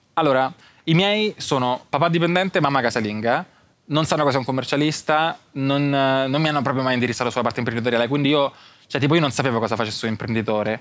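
Very fast and very even in loudness, a man speaks with a dry sound and no echo. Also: medium pitch for a man, ordinary pitch variation. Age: young. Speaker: content creator and entrepreneur; content creator. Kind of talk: casual interview. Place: studio. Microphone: lapel.

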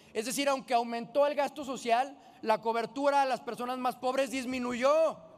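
The man's pitch is extremely high, with ordinary variation. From Jalisco, Mexico. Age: 20s. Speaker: politician. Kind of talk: parliamentary speech. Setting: legislative chamber. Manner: formal. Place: hall. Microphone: podium.

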